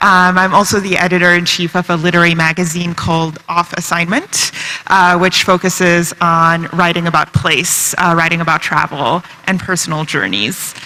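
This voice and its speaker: A woman with a fairly low pitch talks at a moderate pace, keeping her intonation fairly even despite noticeable background noise. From China. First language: Chinese and French. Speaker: novelist. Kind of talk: panel discussion.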